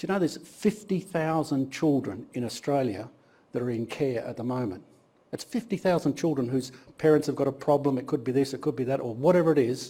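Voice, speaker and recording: A man speaks at a fairly quick pace in a fairly high pitch with lively intonation. His tone is dark and mellow, and somewhat breathy. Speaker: guest speaker, business executive. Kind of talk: guest lecture, personal story. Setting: university classroom. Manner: fast.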